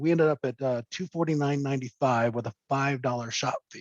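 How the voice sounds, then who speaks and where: A man's fairly even delivery, dry with no echo, over a quiet background. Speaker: business coach. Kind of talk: webinar presentation. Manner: fast. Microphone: webcam.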